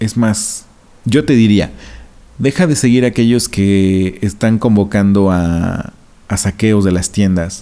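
The voice has a dark, mellow tone, moves at a very slow pace, keeps its loudness very even, and uses fairly even intonation. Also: man, fairly low pitch for a man. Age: 30s. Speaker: podcast host. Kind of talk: solo podcast monologue.

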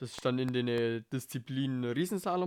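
A man is speaking here. His pitch is medium and his pace moderate. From Bavaria, Germany. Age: 20s. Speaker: podcast host, amateur ski racer. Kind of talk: casual monologue. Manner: casual, hesitant with fillers.

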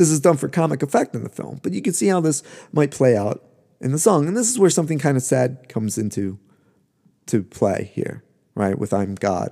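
A man's dark, mellow voice sits at medium pitch, moving at a fairly quick pace with very wide pitch swings. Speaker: podcast host, musicologist. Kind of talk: lecture. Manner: draws out syllables while searching for words.

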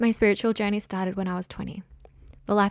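Recorded very cleanly with a silent background, a woman speaks in an Australian accent, her sound dry and close with no echo. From Australia, south coast of New South Wales. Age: 20s. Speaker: life coach and podcaster. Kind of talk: solo monologue, personal storytelling. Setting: spare bedroom at home.

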